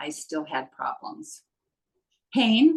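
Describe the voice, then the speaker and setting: A woman speaking at a very slow pace. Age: 70s. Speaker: program client. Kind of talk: testimonial interview answer.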